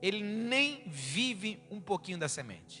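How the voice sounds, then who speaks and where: Over music in the background, a raised, projected voice carries an animated tone and lively intonation. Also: man. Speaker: pastor. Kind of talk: sermon.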